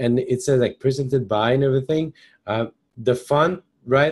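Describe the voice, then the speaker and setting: Against a quiet background, a man speaks at a medium pitch in a somewhat breathy voice. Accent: French Canadian. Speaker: software trainer. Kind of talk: webinar tutorial. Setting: live webinar. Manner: hesitant, many fillers.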